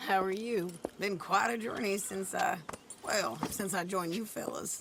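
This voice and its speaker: Using a put-on character voice, a woman speaks raspy and at medium pitch at a moderate pace over clear background noise. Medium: video game.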